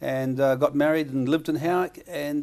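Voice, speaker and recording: A man with a New Zealand accent talks at a fairly quick pace, his fairly high voice dark and mellow in tone with ordinary pitch variation. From New Zealand, Auckland and Bay of Plenty. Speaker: comedian. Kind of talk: casual chat; stand-up.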